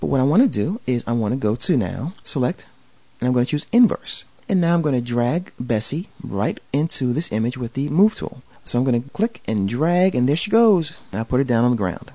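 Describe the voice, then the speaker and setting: Lively intonation marks this man's fairly quick delivery. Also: medium pitch for a man. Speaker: software tutorial instructor. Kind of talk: tutorial. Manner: fast; casual and jokey.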